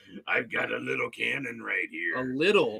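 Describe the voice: A raspy, put-on character voice at a moderate pace. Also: man.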